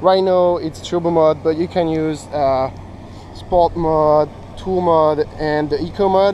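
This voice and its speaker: Fairly slow speech in a French accent with fairly even intonation. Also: man, fairly high pitch for a man. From France. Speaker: bicycle company family member. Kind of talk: product demo interview.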